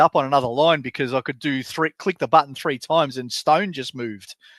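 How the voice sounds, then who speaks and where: A man with an Australian accent and fairly high pitch at a fairly quick pace, in a dry, close sound with no echo on a very clean recording with a silent background. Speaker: fantasy sports podcast co-host. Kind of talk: casual chat.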